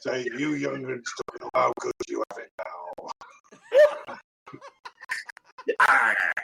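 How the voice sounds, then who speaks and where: A man's put-on character voice at a very slow pace, with long, frequent pauses. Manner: gruff, scolding.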